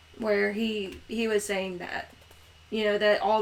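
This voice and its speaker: Over noticeable background noise, a woman at a medium pitch speaks with monotone, flat intonation at a moderate pace. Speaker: podcast co-host. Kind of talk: casual discussion. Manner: halting, many fillers.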